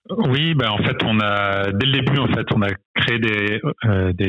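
Against noticeable background noise, a man with a fairly low voice speaks with ordinary pitch variation. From France, Brittany (Vannes). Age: 30s. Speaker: tech company founder. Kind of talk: interview. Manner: halting, many fillers and repetitions.

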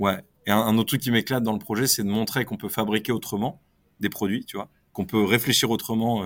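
A man speaks at a very fast pace in a medium pitch, with fairly even intonation, on a very clean recording with a silent background. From northern France, Lille area. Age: 30s. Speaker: entrepreneur. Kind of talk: interview.

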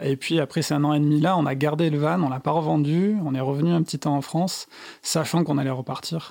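Over a very clean recording with a silent background, a man talks at a fairly quick pace in a fairly high, dark, mellow voice with fairly even intonation. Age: 30s. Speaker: architect turned van traveller and author. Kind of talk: interview. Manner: halting.

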